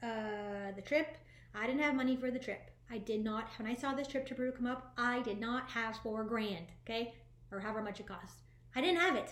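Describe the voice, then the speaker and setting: A woman speaks with a fairly high pitch. Room echo is audible around her voice. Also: ordinary pitch variation. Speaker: spiritual life coach. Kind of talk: motivational talk to viewers. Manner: fast; animated.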